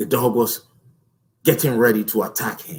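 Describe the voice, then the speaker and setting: A man speaks with a non-native accent. His voice is somewhat breathy. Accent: noticeable non-native. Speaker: motivational speaker. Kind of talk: motivational talk. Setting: live stream. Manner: slow; powerful, deliberate delivery.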